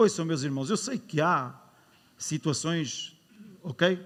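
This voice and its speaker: Speaking with a European Portuguese accent, a man has a high pitch and lively intonation. His pace is moderate. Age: 60s. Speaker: pastor. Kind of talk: sermon. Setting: church. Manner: animated.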